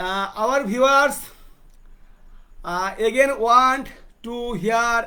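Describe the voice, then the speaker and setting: In a Bengali accent, a man uses a raised, projected voice at an extremely high pitch, his tone bright and sharp and his intonation lively. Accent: Indian English, Bengali. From India, West Bengal. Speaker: poet and talk show host. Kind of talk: interview. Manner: halting.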